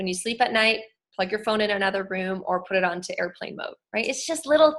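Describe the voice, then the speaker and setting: A woman talks at a fairly quick pace with lively intonation. Her pitch sits fairly high. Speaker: wellness educator. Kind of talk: online presentation. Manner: fast.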